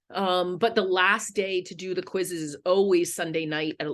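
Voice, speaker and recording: A woman with a Philadelphia accent speaks at a fairly low pitch and moderate pace, with fairly even intonation over a quiet background. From Philadelphia, US. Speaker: history professor. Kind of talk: online lecture.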